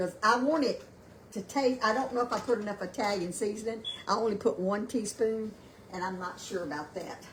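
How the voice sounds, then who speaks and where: Noticeable background noise sits behind a woman's fairly high voice. She talks at a fairly quick pace with ordinary pitch variation. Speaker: home cooking livestream host. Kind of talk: live cooking demonstration. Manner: loud; halting, many fillers. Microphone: no microphone, built-in device mic.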